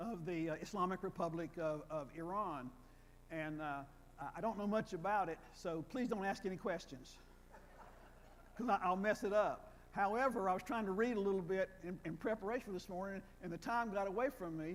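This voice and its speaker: In a North Carolina accent, the voice moves at a fairly quick pace with ordinary pitch variation. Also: man, high pitch for a man. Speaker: retired professor of Old Testament. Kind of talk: lecture. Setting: church hall with audience, wired microphone. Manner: halting, repeats words.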